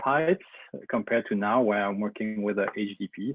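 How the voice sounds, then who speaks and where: A man speaks at a moderate pace with a Belgian French accent, his pitch fairly low. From Belgium. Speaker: engineer, company representative. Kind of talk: webinar presentation. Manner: hesitant, many fillers.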